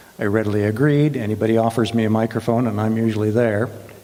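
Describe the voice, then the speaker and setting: A man speaks with a warm tone. Background noise is noticeable. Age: 70s. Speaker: guest speaker. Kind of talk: prepared talk.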